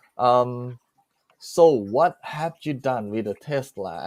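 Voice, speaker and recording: This man has a Thai accent and a medium pitch, his delivery animated with very wide pitch swings. The sound is dry and close, without any echo. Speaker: live stream host. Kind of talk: casual live chat.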